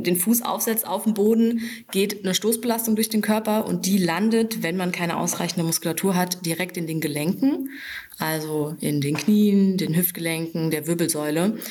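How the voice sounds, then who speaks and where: A plain, everyday voice from a woman, mid-range in pitch, typical in pitch movement and medium in speed. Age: 20s. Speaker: fitness trainer. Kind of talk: podcast interview. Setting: in her fitness studio.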